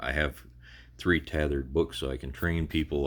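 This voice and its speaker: Very deep and low, a man's voice shows vocal fry as he talks at a moderate pace with fairly even intonation. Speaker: gaming YouTuber. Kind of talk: game walkthrough tutorial. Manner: occasional stutter; casual, hesitant with fillers.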